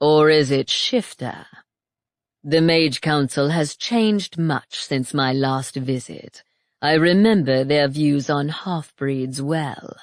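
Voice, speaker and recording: A put-on character voice at a low-to-middle pitch, delivered at a fairly slow pace. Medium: read story. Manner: calm, smug, taunting.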